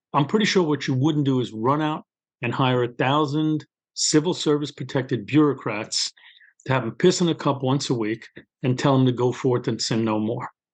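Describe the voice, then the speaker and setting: Over a quiet background, a man with a Brooklyn accent speaks at a moderate pace and medium pitch, with ordinary pitch variation. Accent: New York (Brooklyn). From New York City, Brooklyn. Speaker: criminal justice official and author. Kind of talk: interview. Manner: conversational, storytelling.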